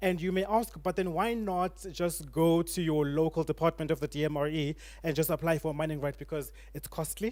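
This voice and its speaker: Very clean and silent in the background, the recording has a man speaking fairly quickly at a fairly high pitch with fairly even intonation. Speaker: panel guest on legal and mining issues. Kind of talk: panel discussion. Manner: fast.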